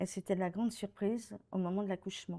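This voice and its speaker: A woman speaks in an ordinary speaking voice at a moderate pace. Her intonation is fairly even. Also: very clean recording, silent background. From France, Paris. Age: 60s. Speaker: retired director of social care facilities. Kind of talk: testimony.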